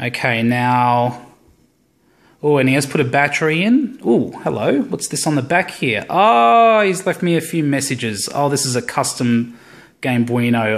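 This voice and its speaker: A man with an Australian accent, fairly high pitch, lively intonation and a fairly slow pace. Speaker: tech hobbyist YouTuber. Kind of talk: unboxing video. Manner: casual, hesitant with fillers.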